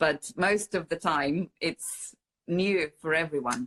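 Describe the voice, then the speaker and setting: A Russian accent with ordinary pitch variation. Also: woman, dry, close sound with no echo. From Siberia, Russia (Omsk). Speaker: mixed media visual artist. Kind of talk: interview conversation. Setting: Instagram live. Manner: halting, many fillers.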